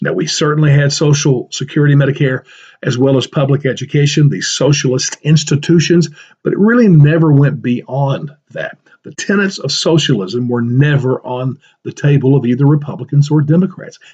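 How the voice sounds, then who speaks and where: At a moderate pace, a man with a fairly high, somewhat breathy voice shows ordinary pitch variation. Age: 60s. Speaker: political podcaster. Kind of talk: solo podcast commentary. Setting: home office library. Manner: casual, conversational.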